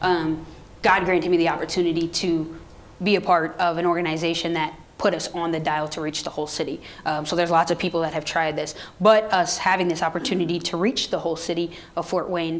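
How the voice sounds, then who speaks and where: A woman talks at a very fast pace in a monotone, flat delivery, with noticeable background noise. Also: fairly low pitch for a woman. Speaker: radio program director. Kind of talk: audience Q&A talk.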